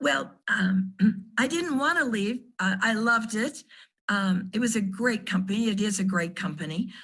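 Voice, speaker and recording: Speaking at a moderate pace and a medium pitch, a woman sounds somewhat breathy, with ordinary pitch variation. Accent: American. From California. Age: 80s+. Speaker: retired sales director, network marketer. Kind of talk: interview.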